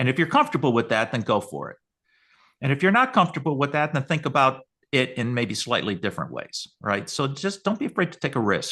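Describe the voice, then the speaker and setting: With an American accent, a man speaks at a very fast pace in a bright, sharp tone with lively intonation. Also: fairly high pitch for a man, quiet background. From Western New York. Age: 60s. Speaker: research company CEO. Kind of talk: webinar interview. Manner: halting, many repetitions.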